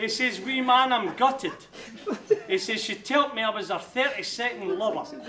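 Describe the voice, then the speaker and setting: Over noticeable background noise, a raised, projected voice moves at a moderate pace with ordinary pitch variation. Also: man, extremely high pitch for a man. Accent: Glaswegian. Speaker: best man. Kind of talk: wedding speech.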